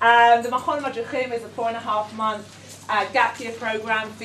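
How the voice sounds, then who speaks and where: A woman at a medium pitch speaks at a moderate pace amid noticeable background noise and audible room echo. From London, England. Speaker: educator running a gap year programme. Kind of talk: workshop presentation. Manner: hesitant, many fillers.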